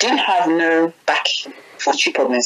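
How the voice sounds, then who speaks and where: A woman speaks over noticeable background noise. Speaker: interviewee. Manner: casual, animated storyteller.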